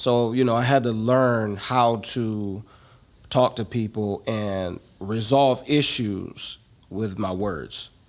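A man's very slow speech in an American accent, medium in pitch, with ordinary pitch variation. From Cleveland, Ohio. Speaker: real estate investor. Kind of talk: interview. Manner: casual.

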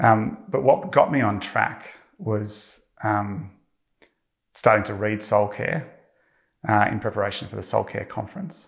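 Using a fairly low pitch with vocal fry, a man talks at a moderate pace with lively intonation. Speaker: church member giving testimony. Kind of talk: testimony. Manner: hesitant, filler-heavy.

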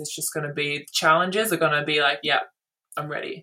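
A woman in an Australian accent, very deep and low in pitch, with a bright, sharp tone, fairly even intonation and a moderate pace. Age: 20s. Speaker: basketball player. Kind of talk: casual chat.

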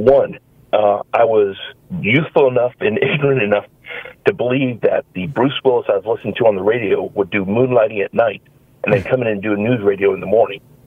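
A man with an American accent moves at a fairly quick pace amid noticeable background noise. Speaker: caller. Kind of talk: phone-in call. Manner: halting.

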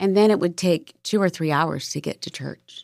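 A woman's normal speaking voice, fairly low in pitch with ordinary pitch variation, at a moderate pace, dry and close with no echo, in a very clean recording with a silent background. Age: 50s. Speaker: podcast host. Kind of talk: casual chat.

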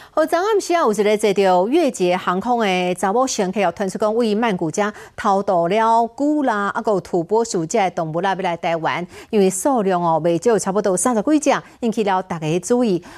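Here is a woman at medium pitch with a plain, everyday voice. She talks at a moderate pace with lively intonation. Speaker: news anchor. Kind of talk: news reading. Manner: formal.

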